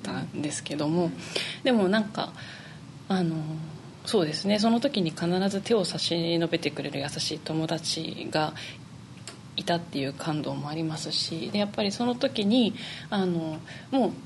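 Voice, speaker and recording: Pausing long and often, a woman with a fairly low pitch speaks at a moderate pace with lively intonation. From Niigata, Japan (Tsubame). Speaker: flute player. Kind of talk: interview.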